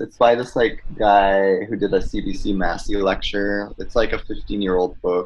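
An ordinary speaking voice from a man with a Canadian accent, at a fairly slow pace with ordinary pitch variation. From Quebec, Mohawk community near Montreal. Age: 30s. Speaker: cartoonist. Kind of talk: casual interview. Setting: video call.

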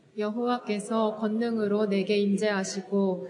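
Through noticeable background noise, a woman with a medium pitch speaks at a fairly slow pace with fairly even intonation. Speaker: church deacon leading scripture reading. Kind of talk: reading aloud.

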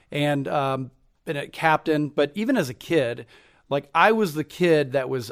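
In a very clean recording with a silent background, a man with a Midwestern US accent talks at a moderate pace, his pitch fairly high. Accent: US Midwest. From Cincinnati, Ohio, US Midwest. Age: 40s. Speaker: entrepreneur. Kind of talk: interview.

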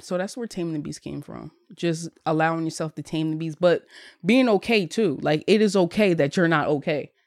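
With an American accent and a plain, everyday voice, a woman speaks at a fairly quick pace and a fairly low pitch, with ordinary pitch variation and big swings in loudness, in a very clean, dry, close recording with a silent background and no echo. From Bristol, Pennsylvania (Philadelphia area). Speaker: life coach and meditation group leader. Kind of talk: casual chat.

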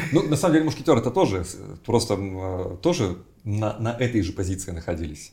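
A man talks at a fairly quick pace in a fairly low pitch, somewhat breathy. His tone is dark and mellow, with very wide pitch swings. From Siberia, Novosibirsk. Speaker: writer and writing teacher. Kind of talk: casual interview.

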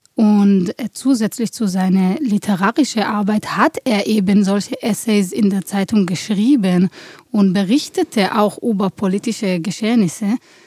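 A woman with an Israeli accent speaks at a fairly slow pace, her pitch varying in an ordinary way. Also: medium pitch for a woman, dry, close sound with no echo. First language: Hebrew (speaking German). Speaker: theatre director. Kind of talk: interview. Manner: halting, many fillers.

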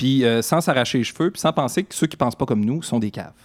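The recording is very clean, dry and close with no echo and a silent background, and the voice shows ordinary pitch variation. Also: man. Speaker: co-host comedian. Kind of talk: comedic talk show banter.

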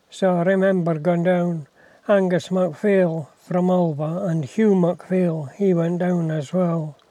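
Speaking with a West Highland Scottish accent, a man talks at a fairly slow pace with fairly even intonation. His voice is high in pitch with a dark, mellow tone. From Scotland, Isle of Mull. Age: 80s+. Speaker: retired farmer. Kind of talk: casual chat. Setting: in a car, talking through window.

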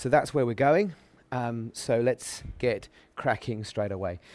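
At a fairly slow pace, a man talks at medium pitch with ordinary pitch variation, recorded very cleanly over a silent background. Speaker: pastor. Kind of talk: workshop talk. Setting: stage with audience. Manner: halting.

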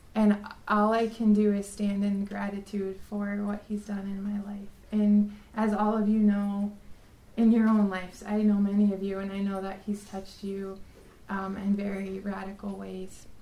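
A woman with an American accent, medium pitch and monotone, flat intonation at a moderate pace, noticeable background noise behind her. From South Dakota, US. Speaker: religion teacher. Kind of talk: testimony.

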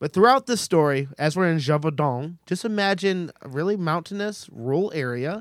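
An animated man with a high voice, lively intonation, a moderate pace and hardly any pauses, in a dry, close sound with no echo. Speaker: podcast host. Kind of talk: casual comedic storytelling. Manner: animated, joking.

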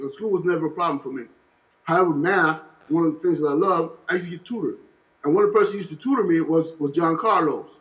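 A man speaks very fast in an American accent. His pitch is high, with ordinary variation. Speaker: former political prisoner. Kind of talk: interview.

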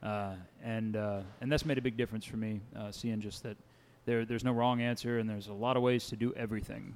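In a Kentucky accent, a man rattles along at a very fast pace, medium in pitch with monotone, flat intonation. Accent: Kentucky Southern US. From Winchester, Kentucky. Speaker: folk singer-songwriter. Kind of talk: live showcase talk. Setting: live venue with audience.

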